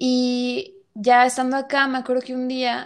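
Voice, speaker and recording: Speaking with a Mexican accent, a woman uses a high pitch. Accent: Mexican Spanish (Jalisco). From Mexico, Guadalajara. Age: 20s. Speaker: actress and visual artist. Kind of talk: interview.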